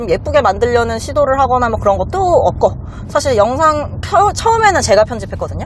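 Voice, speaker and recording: Speaking at a moderate pace, a woman with a high pitch swings very widely up and down against noticeable background noise. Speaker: lawyer. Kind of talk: casual chat.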